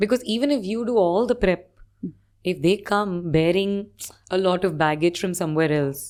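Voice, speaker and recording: A woman with a fairly low pitch and lively intonation, a plain, everyday voice. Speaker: TV presenter, radio jockey, and cricket commentator. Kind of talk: podcast interview answer.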